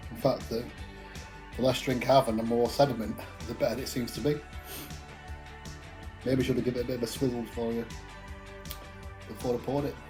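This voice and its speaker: Over background music, a man with an English accent talks at a very fast pace in a medium pitch. His intonation is fairly even, broken by long, frequent pauses. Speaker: craft beer reviewer. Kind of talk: casual talk to camera.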